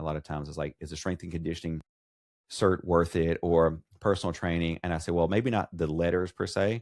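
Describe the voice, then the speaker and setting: Speaking very fast, a man with a very deep, low pitch keeps a fairly even intonation in a dry, close recording with no echo and a very clean, silent background. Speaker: occupational therapist and podcaster. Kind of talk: casual interview. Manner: monotone.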